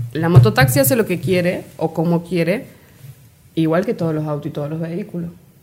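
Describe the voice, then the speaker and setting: A woman's fairly low-pitched voice at a fairly quick pace, with ordinary pitch variation and music in the background. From Argentina, Córdoba province (Río Ceballos). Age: 20s. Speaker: guest, community volunteer. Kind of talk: casual interview.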